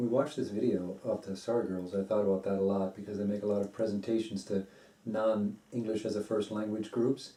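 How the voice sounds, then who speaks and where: With an American accent and a plain, everyday voice, a man of fairly low pitch speaks at a fairly quick pace with fairly even intonation. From United States. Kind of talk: casual conversation.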